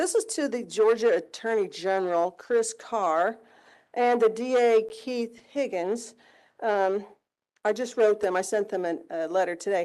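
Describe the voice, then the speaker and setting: A woman's fairly high voice carries a dark, mellow tone. The background is quiet. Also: ordinary pitch variation. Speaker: public commenter at county meeting. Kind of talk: public comment, reading a letter aloud. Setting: public meeting room. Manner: loud.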